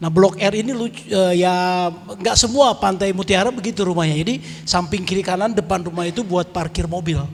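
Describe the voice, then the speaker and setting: A man speaks at a fairly quick pace with hardly any pauses. His pitch is high and his intonation fairly even. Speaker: lay preacher and musician. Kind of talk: testimony sharing at prayer meeting. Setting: church prayer meeting hall. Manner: casual, conversational.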